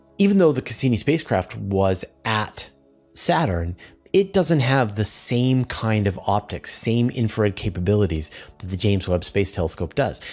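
A man speaks at a moderate pace in a fairly low voice. Faint music plays in the background. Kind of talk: science explainer commentary. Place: home room. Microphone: studio mic.

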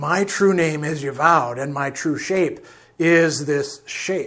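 A man does a put-on character voice, husky and hissing. It sits fairly high in pitch and moves at a fairly slow pace.

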